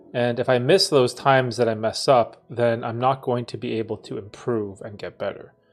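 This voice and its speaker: With a Canadian accent and a medium pitch, a man talks at a moderate pace with hardly any pauses, ordinary pitch variation and big swings in loudness, while music plays in the background. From Canada. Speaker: YouTuber and coach. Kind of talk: live stream Q&A. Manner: casual, slurs words at times.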